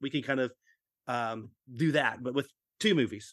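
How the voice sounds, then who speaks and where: On a very clean recording with a silent background, an ordinary speaking voice talks at a moderate pace with an American accent. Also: man. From Texas, Fort Worth. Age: 40s. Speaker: convention organizer and toy seller. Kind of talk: casual interview chat.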